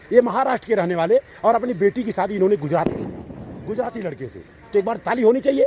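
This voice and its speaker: In a dry, close recording with no echo but noticeable background noise, a man with a high voice speaks in an animated tone with ordinary pitch variation. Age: 60s. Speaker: YouTube channel host. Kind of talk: casual chat. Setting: outdoors at a sports ground with senior citizens.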